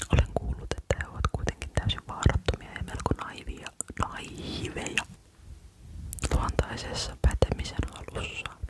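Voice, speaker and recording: The speaker whispers at a fairly slow pace while noticeable background noise carries on around the voice. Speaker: ASMR creator. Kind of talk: bedtime story reading. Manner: whispered, uneven reading pace.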